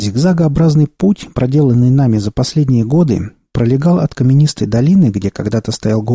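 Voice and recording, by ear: Reading aloud in a natural voice, the speaker uses lively intonation. The background is quiet.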